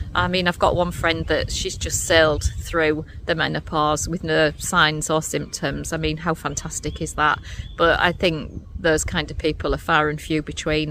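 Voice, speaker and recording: A woman with an English accent talks at a moderate pace over noticeable background noise. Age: 60s. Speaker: menopause vlogger. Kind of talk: personal testimony. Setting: recorded on camera.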